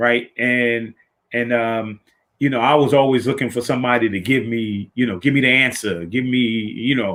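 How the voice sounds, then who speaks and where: Here a man talks with an American accent at a moderate pace. His pitch is medium and varies in an ordinary way. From New York (the Bronx). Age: 60s. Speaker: podcast host, motivational speaker. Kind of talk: motivational talk. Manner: repetitive, halting restarts.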